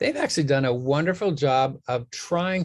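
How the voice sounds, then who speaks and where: Against a quiet background, a man speaks at a moderate pace with a somewhat breathy voice and lively intonation. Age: 60s. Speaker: nutrition scientist, professor. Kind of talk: interview.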